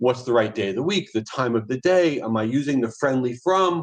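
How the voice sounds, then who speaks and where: His delivery is fairly quick. The man's intonation is lively. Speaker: marketing agency founder, presenter. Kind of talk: presentation. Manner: fast; energetic.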